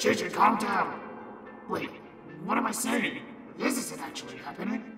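A man speaks in a high pitch amid loud background noise. Strong echo surrounds his voice. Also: moderate pace.

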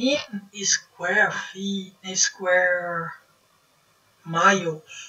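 In a Brazilian Portuguese accent, a woman talks at a very slow pace with ordinary pitch variation. Long, frequent pauses break up her speech against a quiet background. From Northeast Brazil (Maceió, Alagoas); Northeast Brazil. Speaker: YouTuber; vlogger explaining property law. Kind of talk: casual talk to camera, explainer. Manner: halting, non-native phrasing. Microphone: webcam.

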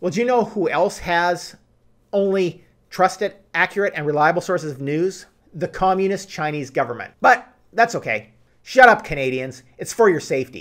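A man talks at a moderate pace over a quiet background. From Canada. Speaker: political commentary YouTuber. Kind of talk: scripted monologue. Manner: animated. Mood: indignant, sarcastic. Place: home room.

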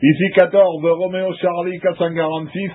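Pitched high with a slightly husky edge, a man speaks at a moderate pace with little pitch movement.

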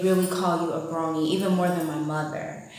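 A woman speaks in a fairly low voice with fairly even intonation and an American accent. Strong room echo fills the recording. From United States. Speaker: vlogger. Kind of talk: vlog monologue. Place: home room. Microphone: phone near.

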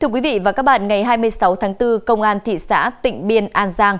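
A woman talks at a fairly slow pace. Her voice sits fairly high. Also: quiet background. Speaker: news anchor. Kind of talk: news reading. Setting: studio. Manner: formal. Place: studio. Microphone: lapel.

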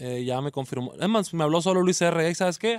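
Over a quiet background, a man speaks at a very fast pace in a high pitch, with a dry sound and no echo. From Mexico, Culiacán, Sinaloa; Sinaloa, Mexico. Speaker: regional Mexican music artist. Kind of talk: radio interview. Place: studio.

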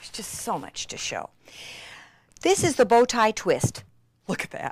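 A woman speaks in an excited, enthusiastic tone at a moderate pace. Her loudness rises and falls in big swings. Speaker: craft demonstrator. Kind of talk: craft tutorial infomercial demonstration. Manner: excited, enthusiastic, gasping.

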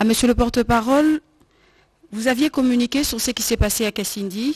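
A woman talks at a fairly quick pace with ordinary pitch variation, in a normal speaking voice. The background is quiet. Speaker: journalist. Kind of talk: press conference. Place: hall. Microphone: handheld.

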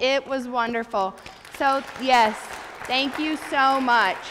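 Speaking at a very slow pace, a woman uses a high pitch. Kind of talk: church announcements. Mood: warm, grateful. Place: church.

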